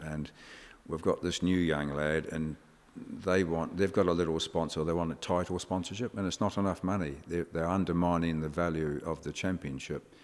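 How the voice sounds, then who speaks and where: An English-accented man speaks at a moderate pace with a very deep, low pitch and fairly even intonation, on a very clean recording with a silent background. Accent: sounds very English. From New Zealand. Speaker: motorsport engineer and team boss. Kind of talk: podcast interview.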